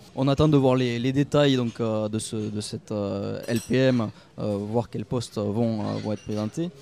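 A man speaks at a very slow pace. His intonation is fairly even. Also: medium pitch for a man. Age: 20s. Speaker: politician. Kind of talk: interview. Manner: halting.

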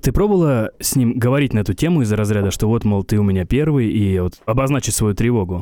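At a very fast pace, a man with a medium pitch and a dark, mellow tone keeps his loudness very even. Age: 30s. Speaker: podcast host. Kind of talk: casual chat.

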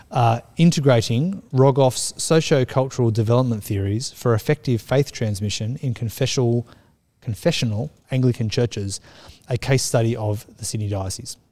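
A man with a somewhat breathy voice and a dark, mellow tone. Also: medium pitch for a man, ordinary pitch variation, moderate pace. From Australia. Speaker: children's minister. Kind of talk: casual chat.

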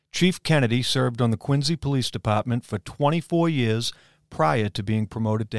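Recorded very cleanly against a silent background, with a dry, close sound and no echo, a man with a medium pitch uses an ordinary speaking voice at a moderate pace. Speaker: podcast host. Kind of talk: scripted intro then discussion.

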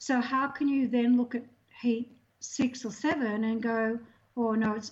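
Speaking with an Australian accent, a woman has a fairly high pitch. Her pace is fairly slow and her intonation monotone and flat. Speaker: swimming technical official. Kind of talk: interview.

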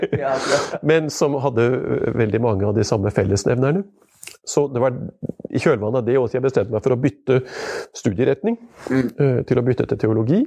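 At a moderate pace, the speaker uses a normal speaking voice with very even loudness and ordinary pitch variation. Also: man, medium pitch for a man. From Indre Østfold, Norway. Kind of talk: conversational interview. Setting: his home.

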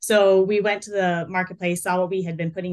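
A woman's plain, everyday voice at medium pitch with an American accent and fairly even intonation. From North Carolina. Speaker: marketing manager. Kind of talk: interview.

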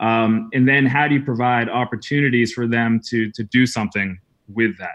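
A man speaks at a medium pitch and a moderate pace in an ordinary speaking voice. His intonation stays fairly even. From New England, US. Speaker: education entrepreneur and former teacher. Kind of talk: interview conversation.

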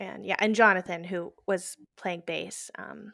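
A woman with an American accent is heard on a very clean recording, the background silent. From Texas (Houston). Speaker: singer-songwriter. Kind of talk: interview. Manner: halting, many fillers.

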